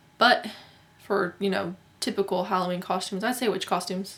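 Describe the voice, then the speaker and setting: Noticeable background noise sits behind a woman's voice. She speaks at a fairly quick pace and medium pitch. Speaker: YouTuber. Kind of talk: casual vlog.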